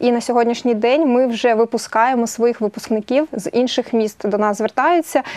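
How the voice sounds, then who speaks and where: Speech moves along at a moderate pace. Its intonation is fairly even. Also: woman. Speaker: guest. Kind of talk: interview answer. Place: studio.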